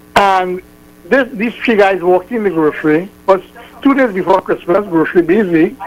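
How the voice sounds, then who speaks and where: With noticeable background noise around him, a man speaks at a moderate pace in a high pitch with ordinary pitch variation. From Trinidad. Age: 70s. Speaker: radio caller. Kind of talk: phone-in call. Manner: halting.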